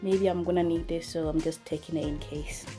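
Clear music sits behind a woman talking at a moderate pace. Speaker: student vlogger. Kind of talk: casual vlog chat. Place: home room. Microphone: phone near.

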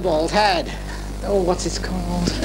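Noticeable background noise runs under speech that keeps a moderate tempo. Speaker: family party host. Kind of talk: casual party banter. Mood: jolly festive. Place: home room. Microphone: handheld.

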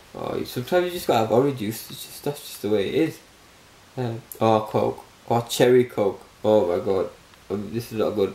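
Amid noticeable background noise, a man with a British accent speaks at a medium pitch and moderate pace, with ordinary pitch variation. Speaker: vlogger. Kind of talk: casual vlog.

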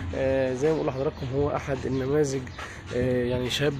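A man talks over clearly audible background music, the sound dry with no echo. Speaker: street reporter. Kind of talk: news field report narration. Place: street. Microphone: phone near.

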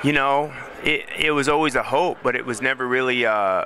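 A man in a normal speaking voice, medium in pitch, goes at a moderate pace over light background noise, with a dry sound and no echo. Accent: American. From United States. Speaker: professional MMA fighter. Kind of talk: interview. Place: hall. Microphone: handheld.

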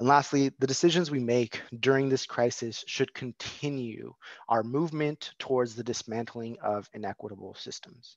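Over a quiet background with a dry sound and no echo, a man with a plain, everyday voice and an American accent talks at a moderate pace and medium pitch, with ordinary pitch variation and hardly any pauses. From San Diego, California; California. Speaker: education policy advocate; presenter. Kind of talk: presentation. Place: home room. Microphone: video call.

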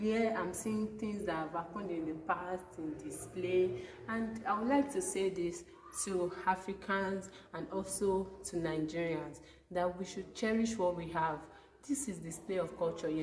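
A woman speaks at a fairly slow pace with ordinary pitch variation. Light background noise sits behind her. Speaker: student vlogger. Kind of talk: casual vlog chat. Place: hall. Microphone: phone near.

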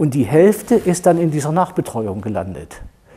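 A man's fairly high-pitched voice with vocal fry. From Thuringia, Germany; Germany. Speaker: doctor, clinic founder; guest. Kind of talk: panel discussion. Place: studio. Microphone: lapel.

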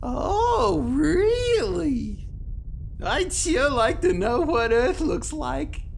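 A cartoonish character voice at a very slow pace over clear background noise. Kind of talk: children's puppet show.

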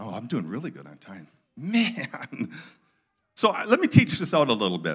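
Over a quiet background, a man with vocal fry talks at a moderate pace. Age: 60s. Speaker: guest preacher. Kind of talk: sermon. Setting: church with live audience. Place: church. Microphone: handheld.

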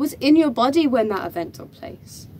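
The woman's voice rises and falls in very wide pitch swings. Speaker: actor performing a stage monologue. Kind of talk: dramatic theatrical monologue, performed in character. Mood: emotional, tearful at times. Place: empty room. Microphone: camera far.

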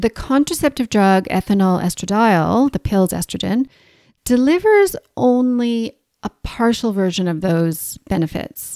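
Over a very clean recording with a silent background and a dry, close sound with no echo, a woman with a fairly high voice speaks at a fairly slow pace with lively intonation. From Canada. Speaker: naturopathic doctor and podcast host. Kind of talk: educational solo podcast talk. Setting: home recording in New Zealand.

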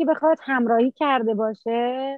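A woman's high-pitched voice with ordinary pitch variation, dry with no echo, against a quiet background. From Iran, Mazandaran (Qaem Shahr); Mazandaran, Iran. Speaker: taekwondo coach and referee; interview guest, sports coach. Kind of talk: interview. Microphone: phone near.

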